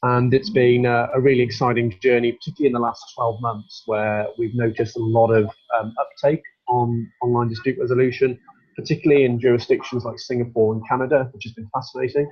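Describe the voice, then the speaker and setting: Speaking at a very fast pace, a man with a British accent sounds somewhat breathy. His pitch is medium and his intonation fairly even. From UK. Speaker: barrister, solicitor and mediator. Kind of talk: webinar presentation. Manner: hesitant, many fillers and repeats.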